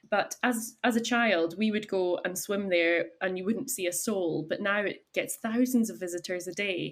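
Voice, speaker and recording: A medium-pitched woman with a Highland Scottish accent, at a moderate pace. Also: ordinary pitch variation, hardly any pauses. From Scotland, Isle of Skye. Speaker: chef and cafe owner. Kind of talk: podcast interview.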